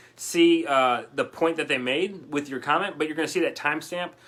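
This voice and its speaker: In an animated tone, a man talks with a fairly high pitch. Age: 30s. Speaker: online business coach. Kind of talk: live stream coaching session. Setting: Facebook live video. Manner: fast.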